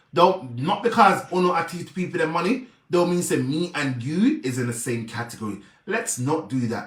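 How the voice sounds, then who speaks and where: Over audible room echo, a man speaks at a moderate pace in a high pitch with very wide pitch swings. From Jamaica. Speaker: social media personality, charity helper. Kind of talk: live video rant. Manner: animated.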